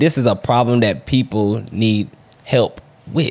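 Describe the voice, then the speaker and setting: This man has an ordinary speaking voice, medium pitch, moderate pace and ordinary pitch variation. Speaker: podcast co-host. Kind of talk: casual chat.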